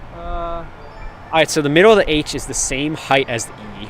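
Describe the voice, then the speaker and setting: A man's fairly high voice over music in the background. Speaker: livestreamer. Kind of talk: casual chat. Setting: outdoors. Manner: loud; animated.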